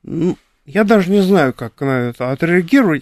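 A man speaks at a high pitch with lively intonation and a moderate pace. The sound is dry and close, with no echo. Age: 60s. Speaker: artist and drawing teacher. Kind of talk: interview. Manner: halting.

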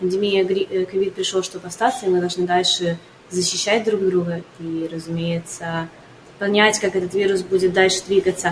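A woman speaks at a medium pitch and a moderate pace. Her intonation stays flat and monotone over noticeable background noise. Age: 20s. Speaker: entrepreneur. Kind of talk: radio interview.

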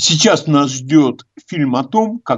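The intonation is lively, with a slightly husky edge. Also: man.

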